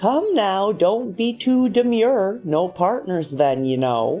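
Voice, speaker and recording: A shrill, female-sounding put-on character voice speaks at a middle pitch and a fairly slow pace. Clear music plays in the background. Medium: read story. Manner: eager, giggling, coaxing.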